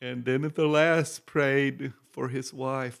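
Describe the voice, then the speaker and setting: At a fairly slow pace, a man with a Texan accent speaks at a medium pitch. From Texas. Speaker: itinerant minister. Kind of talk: interview testimony.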